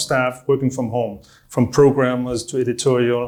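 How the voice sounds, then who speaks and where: A man at a moderate pace with a Danish accent. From Denmark. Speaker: online marketing business owner. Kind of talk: interview answer.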